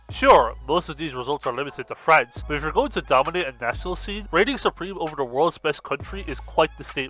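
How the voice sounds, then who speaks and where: A man speaks very fast with hardly any pauses while music plays in the background. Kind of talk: esports video essay narration. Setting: headset mic.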